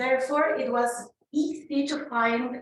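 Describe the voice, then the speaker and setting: A woman's high voice at a very slow pace, with ordinary pitch variation and audible room echo. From Mexico. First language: Spanish. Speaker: conference speaker sharing migrant experience. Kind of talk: conference talk. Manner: halting with fillers.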